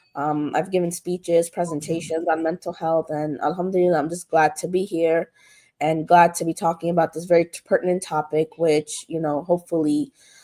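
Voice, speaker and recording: A woman's fairly low, dark, mellow voice at a fairly quick pace, monotone with flat intonation. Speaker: mental health counselor. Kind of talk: talk show interview. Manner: hesitant, many filler ums.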